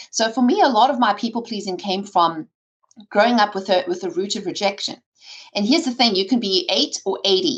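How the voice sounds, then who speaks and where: Somewhat breathy, a woman speaks at a fairly quick pace and a fairly high pitch, with lively intonation. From South Africa. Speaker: podcast guest. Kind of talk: interview. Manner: talkative.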